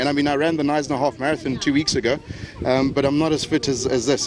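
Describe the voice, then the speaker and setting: Speaking very fast, a man's fairly high voice comes through noticeable background noise. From South Africa, Johannesburg. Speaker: sports fan, tourist. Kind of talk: street interview. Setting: outdoors. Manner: hesitant.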